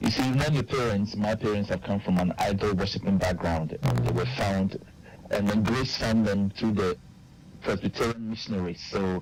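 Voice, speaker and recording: Amid noticeable background noise, a man with a fairly low pitch speaks at a moderate pace, with lively intonation and very even loudness. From Ghana. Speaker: singer-songwriter and missionary. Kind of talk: radio interview.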